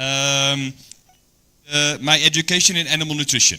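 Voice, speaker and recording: With a Dutch accent, a man speaks at a medium pitch in a bright, sharp tone. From Netherlands. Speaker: animal nutritionist. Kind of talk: training presentation. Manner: hesitant, many fillers.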